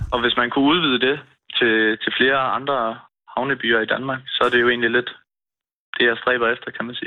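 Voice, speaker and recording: This man talks at a moderate pace in a medium pitch, his intonation monotone and flat, with long, frequent pauses. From Denmark, Svendborg (Funen). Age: 20s. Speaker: fishmonger. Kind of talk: phone interview. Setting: phone call.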